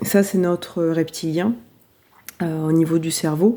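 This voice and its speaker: A woman at a very slow pace, in a calm tone with a dark, mellow tone, a fairly low pitch and fairly even intonation. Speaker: spiritual coach. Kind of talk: motivational talk. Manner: calm, low energy.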